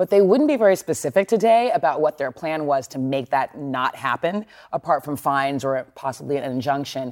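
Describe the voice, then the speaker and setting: The speaker has an American accent and talks at a fairly quick pace with hardly any pauses. The recording is very clean, with a silent background. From Texas. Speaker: news correspondent. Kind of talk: news discussion.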